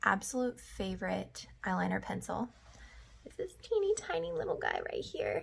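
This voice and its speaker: Quietly, a woman speaks at a moderate pace. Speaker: makeup vlogger. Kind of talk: tutorial.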